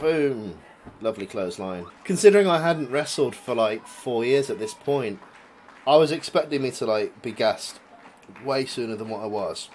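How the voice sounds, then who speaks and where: Speaking at a moderate pace in an English accent, a man uses lively intonation at a medium pitch. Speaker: vlogger and amateur wrestler. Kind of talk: video commentary. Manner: casual, halting.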